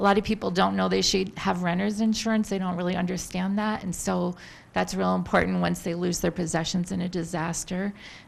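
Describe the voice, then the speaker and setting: The woman here speaks at a fairly quick pace. The background is quiet. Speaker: government public affairs specialist. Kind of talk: public briefing. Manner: soft-spoken.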